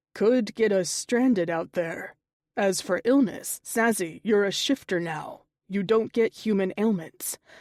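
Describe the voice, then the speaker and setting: A woman puts on a growling character voice. She speaks at a fairly slow pace in a medium pitch. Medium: read story.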